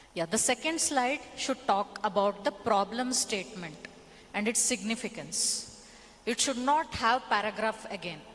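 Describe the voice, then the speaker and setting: A woman with a Kannada accent, fairly high-pitched, speaking at a fairly slow pace over noticeable background noise. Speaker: workshop trainer, edtech founder. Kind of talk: workshop presentation.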